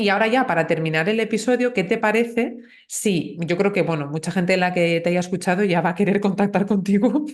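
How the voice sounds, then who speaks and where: Very even loudness at a fairly quick pace, with ordinary pitch variation. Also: woman, medium pitch for a woman. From northern Spain. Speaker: podcast host, Spanish teacher. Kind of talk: casual interview chat.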